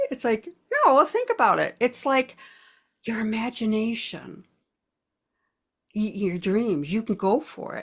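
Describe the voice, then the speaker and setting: A somewhat breathy woman talks at a fairly slow pace with long, frequent pauses, on a very clean recording with a silent background. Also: fairly high pitch for a woman, ordinary pitch variation. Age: 70s. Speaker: spiritual healer. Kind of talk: interview.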